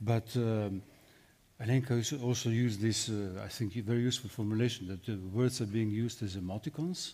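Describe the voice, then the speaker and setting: A man with a Slovenian accent speaks at a moderate pace in a dark, mellow tone. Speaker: philosopher; panelist. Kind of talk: panel discussion. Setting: stage with audience. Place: hall.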